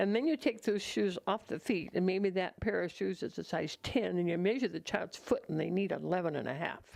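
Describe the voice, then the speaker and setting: With lively intonation and vocal fry, a woman speaks at a medium pitch. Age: 80s+. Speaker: nonprofit volunteer founder. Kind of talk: interview testimony. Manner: halting.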